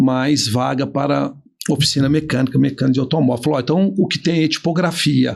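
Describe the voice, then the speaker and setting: A man at a fairly quick pace with vocal fry, against a quiet background. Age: 50s. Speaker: business owner and trainer. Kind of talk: casual interview chat.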